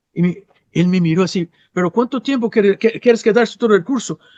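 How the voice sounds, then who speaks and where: High-pitched man with a Brazilian accent, ordinary pitch variation and a dry, close sound with no echo. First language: Portuguese (speaking Spanish). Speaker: psychologist and sex therapist. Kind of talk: interview conversation. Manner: halting with repetitions.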